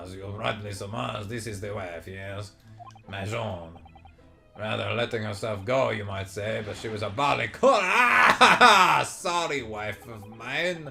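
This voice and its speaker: A man uses a raspy, put-on character voice pitched fairly low. He talks at a fairly slow pace with music in the background. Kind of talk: posh, old-fashioned.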